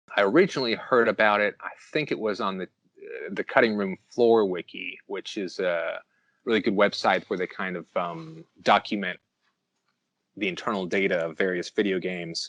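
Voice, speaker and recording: A man's unremarkable speaking voice, fairly low in pitch, with ordinary pitch variation at a moderate pace, in a dry, close sound with no echo. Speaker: YouTuber researching Nintendo cut content. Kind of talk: podcast interview answer. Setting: Skype call through earbud mic.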